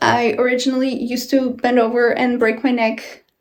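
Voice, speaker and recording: At a moderate pace, a woman speaks at a high pitch with monotone, flat intonation. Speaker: travel and lifestyle vlogger. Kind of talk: casual vlog apartment tour. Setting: outdoors on a balcony.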